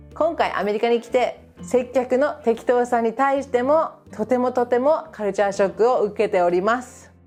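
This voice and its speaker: With music playing behind her, a woman speaks at a moderate pace in an upbeat tone and a fairly high pitch. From Japan. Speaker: English teacher. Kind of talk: casual talk to camera.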